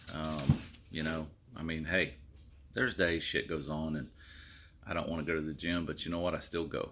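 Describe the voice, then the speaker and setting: A man's very deep, low voice with vocal fry and a bright, sharp tone, at a fairly quick pace. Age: 50s. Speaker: vlogger. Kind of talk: casual chat. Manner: casual, hesitant with many fillers.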